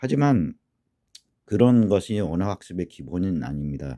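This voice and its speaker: A man's fairly low, dark, mellow voice with lively intonation at a moderate pace, dry and close with no echo, on a very clean recording with a silent background. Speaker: language teacher. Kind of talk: lecture.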